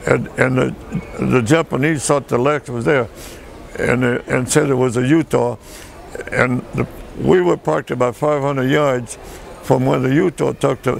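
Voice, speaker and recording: Amid noticeable background noise, the speech moves at a moderate pace with ordinary pitch variation and long, frequent pauses. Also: man, medium pitch for a man. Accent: American. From Michigan, US Midwest (early childhood in France). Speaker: war veteran. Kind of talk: oral history interview. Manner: halting.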